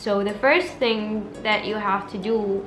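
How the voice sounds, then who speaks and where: Over background music and audible room echo, a woman speaks at a medium pitch with an Arabic accent. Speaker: language-learning YouTuber. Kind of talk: casual vlog talk. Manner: chatty, informal.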